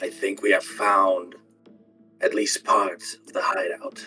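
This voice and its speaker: A man quietly performs a put-on character voice. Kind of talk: low, careful, secretive. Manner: hushed, quiet.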